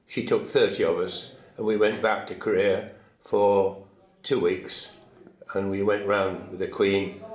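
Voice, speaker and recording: A man with a British accent speaks at a fairly slow pace with long, frequent pauses, and there is audible room echo. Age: 80s+. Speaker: war veteran. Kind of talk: interview. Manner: halting.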